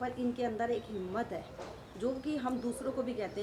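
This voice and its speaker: Noticeable background noise runs under a woman's speaking voice. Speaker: daughter-in-law of interviewee. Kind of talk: interview answer.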